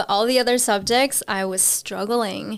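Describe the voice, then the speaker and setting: A woman talks at a moderate pace with fairly even intonation in a very clean recording with a silent background. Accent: Spanish. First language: Spanish. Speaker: podcast guest. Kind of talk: casual chat.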